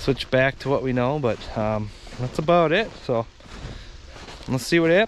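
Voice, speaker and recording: A man speaks at a fairly slow pace, the sound dry with no echo and light background noise behind him. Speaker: angler vlogger. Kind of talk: casual vlog chat. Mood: relaxed, mildly upbeat. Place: open country.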